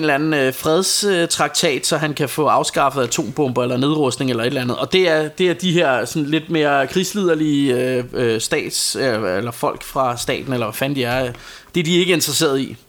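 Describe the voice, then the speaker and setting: Noticeable background noise comes through. The speech moves at a moderate pace. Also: man. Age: 40s. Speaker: podcast co-host. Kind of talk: casual chat. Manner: halting.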